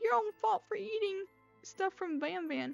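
Putting on a character voice at an extremely high pitch, a woman speaks over faint music in the background. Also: fairly slow pace. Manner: spooky, eerie.

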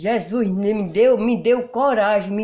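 The woman's tone is dark and mellow, at medium pitch. Her background is quiet. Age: 60s. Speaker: rural homemaker; interviewee. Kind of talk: interview. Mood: earnest, heartfelt testimony. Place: home room. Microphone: handheld.

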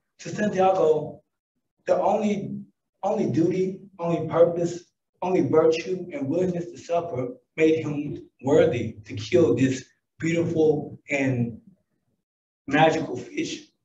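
The speaker has a Southern US accent and talks at a fairly slow pace with ordinary pitch variation. Long, frequent pauses and big swings in loudness run through the speech. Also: man, high pitch for a man. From US South. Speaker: businessman. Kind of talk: conference talk. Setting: stage with audience.

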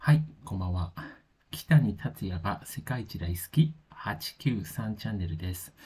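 A man speaks slowly in a very deep, somewhat breathy voice with a dark, mellow tone. His pitch swings very widely and his loudness rises and falls sharply. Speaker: music commentary youtuber. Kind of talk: casual monologue review. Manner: hesitant, many fillers.

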